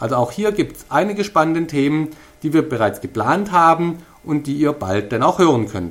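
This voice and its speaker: The voice carries a Swabian accent at a moderate pace. Its intonation is lively, and its loudness swings widely. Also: man, fairly high pitch for a man. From Swabia, Stuttgart area. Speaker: podcast host. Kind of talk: podcast introduction monologue.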